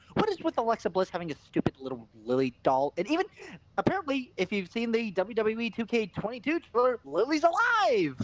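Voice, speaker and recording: Fairly quick and animated in tone, the speech carries noticeable background noise. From Canada, Eastern European heritage. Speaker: wrestling podcast co-host. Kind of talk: casual chat. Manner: animated ranting.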